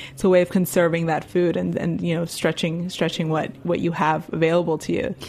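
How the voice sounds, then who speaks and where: This woman speaks at a very fast pace with fairly even intonation. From Miami, Cuban-American family. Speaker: cookbook author. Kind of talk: interview.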